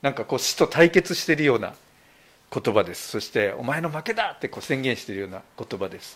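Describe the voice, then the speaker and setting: On a very clean recording with a silent background, a man with a medium pitch talks at a very fast pace, his pitch swinging very widely and his loudness rising and falling sharply. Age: 60s. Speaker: pastor. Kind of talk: sermon. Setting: church.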